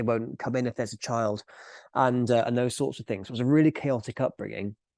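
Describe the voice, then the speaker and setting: A man at medium pitch, with a dark, mellow tone, speaks at a fairly quick pace with fairly even intonation, in a dry, close sound with no echo over a quiet background. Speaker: business owner and author. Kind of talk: podcast interview.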